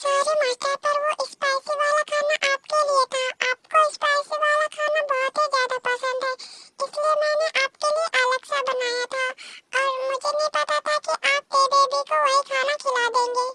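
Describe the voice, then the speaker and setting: A woman's put-on character voice, extremely high and flat in a monotone, with a dry, close sound and no echo. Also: moderate pace. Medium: read story.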